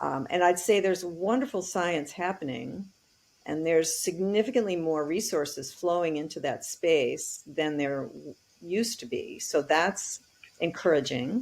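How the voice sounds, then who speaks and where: With a normal speaking voice, a woman talks at a moderate pace and a fairly low pitch, her intonation lively and her loudness swinging widely. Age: 60s. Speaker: technology advocate and author. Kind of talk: interview.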